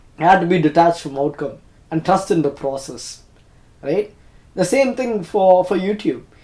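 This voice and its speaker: A man with a Tamil accent speaks at a moderate pace in a high pitch with a dark, mellow tone, lively intonation and long, frequent pauses. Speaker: YouTuber. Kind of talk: personal reflection monologue. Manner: halting, self-correcting.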